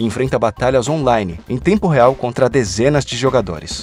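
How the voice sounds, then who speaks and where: A man's voice, medium in pitch, comes through with music in the background. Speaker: voice actor. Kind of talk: documentary narration. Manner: natural.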